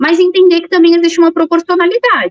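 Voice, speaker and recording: A woman speaks with a São Paulo accent. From São Paulo, Brazil. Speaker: police chief. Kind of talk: interview.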